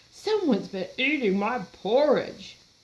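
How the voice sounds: A female-sounding, put-on character voice with fairly high pitch delivers its lines at a moderate pace. The pitch swings very widely.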